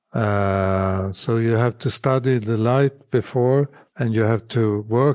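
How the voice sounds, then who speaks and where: A man with a Swedish accent at a very slow pace, dark, mellow tone and ordinary pitch variation, in a dry, close sound with no echo. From northern Sweden. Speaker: architectural photographer. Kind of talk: interview. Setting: home apartment.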